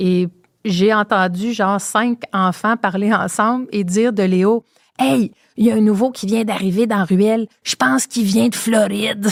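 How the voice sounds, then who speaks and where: A woman in a Quebec accent, medium pitch, ordinary pitch variation, a fairly slow pace, and a dry, close sound with no echo. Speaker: podcast host. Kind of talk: casual interview.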